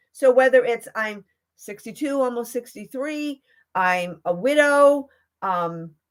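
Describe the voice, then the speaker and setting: Very slow delivery on a very clean recording with a silent background. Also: woman, high pitch for a woman, lively intonation. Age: 60s. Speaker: fashion accessories consultant and live streamer. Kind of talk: personal testimony on a livestream. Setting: live stream on Facebook and YouTube. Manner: chatty, easily sidetracked.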